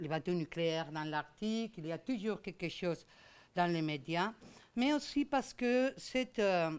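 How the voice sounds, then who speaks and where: Speaking with a Spanish accent, a woman talks at a fairly slow pace and medium pitch with lively intonation, on a very clean recording with a silent background. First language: Spanish or Catalan (speaking French). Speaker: law professor. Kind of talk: lecture. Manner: hesitant, many fillers.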